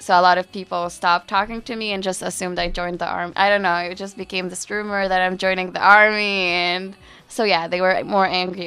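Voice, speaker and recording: A woman's medium-pitched voice with a Palestinian accent, fairly quick and monotone, with music in the background. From East Jerusalem. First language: Arabic. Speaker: university student. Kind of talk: interview. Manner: casual, with filler words.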